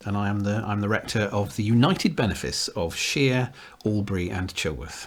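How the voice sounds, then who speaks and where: Fairly low-pitched male voice in a southern English accent, at a moderate pace with ordinary pitch variation. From southwest England. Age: 60s. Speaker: Anglican priest. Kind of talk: casual interview. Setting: rectory. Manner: halting.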